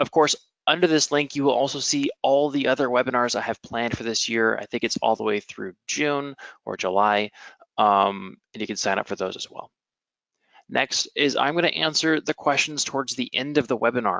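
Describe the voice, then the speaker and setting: Here a man has a bright, sharp tone. The sound is dry and close with no echo. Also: medium pitch for a man, ordinary pitch variation. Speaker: webinar presenter. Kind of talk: technical webinar. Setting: online webinar. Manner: fast.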